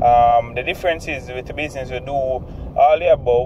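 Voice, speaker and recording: A man with a Jamaican accent speaks at a moderate pace over noticeable background noise. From Jamaica, Kingston. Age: 20s. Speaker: entrepreneur. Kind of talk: self-introduction monologue. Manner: hesitant, many fillers.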